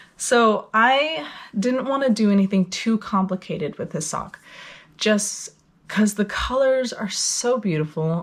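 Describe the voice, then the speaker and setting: A woman speaks fairly slowly with fairly high pitch. Her voice is somewhat breathy and her intonation lively. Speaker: knitting podcaster. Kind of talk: casual talk to camera.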